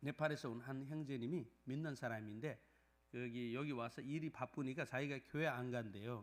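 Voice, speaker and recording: The speaker talks in a non-native Gyeongsang accent with fairly even intonation. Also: man, medium pitch for a man, moderate pace. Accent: non-native Korean with Gyeongsang dialect. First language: Nepali (speaking Korean). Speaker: pastor. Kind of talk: sermon; testimony. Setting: church. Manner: halting, many fillers.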